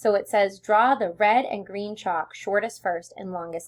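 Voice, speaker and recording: A woman talks at a moderate pace in an ordinary speaking voice. Her pitch sits in the medium range with ordinary variation. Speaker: elementary school teacher. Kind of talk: tutorial.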